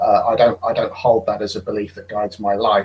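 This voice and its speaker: A man with a British accent talks at a moderate pace. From Britain. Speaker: atheist guest. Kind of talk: casual debate on a video call. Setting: online video hangout. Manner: halting, hesitant.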